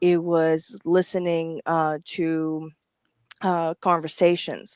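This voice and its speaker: A woman with a Greek accent speaks at a fairly low pitch with monotone, flat intonation on a very clean recording with a silent background. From Greece. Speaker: medical interpreter. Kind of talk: live show interview.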